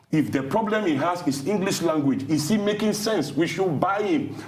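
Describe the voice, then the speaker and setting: Amid noticeable background noise and audible room echo, a man talks at a fairly quick pace in an animated tone with lively intonation. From Nigeria, Yoruba Ijebu area. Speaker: thought leader, TV interview guest. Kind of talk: TV interview. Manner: animated, emphatic.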